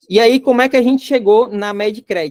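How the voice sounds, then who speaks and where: The speaker has a Rio Grande do Norte accent. The pace is moderate. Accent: northeastern Brazilian (potiguar), noticeable. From Northeast Brazil, Natal, Rio Grande do Norte. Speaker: company CEO teaching a business course. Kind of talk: online course lecture. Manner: casual, conversational.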